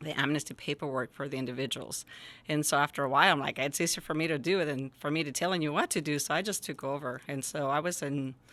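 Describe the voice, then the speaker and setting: A woman with a Spanish accent talks at a fairly quick pace in a very deep, low pitch and a bright, sharp tone, on a very clean recording with a silent background. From Jalisco, Mexico; raised in rural Northern California from age 10. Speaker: school principal. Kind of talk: podcast interview.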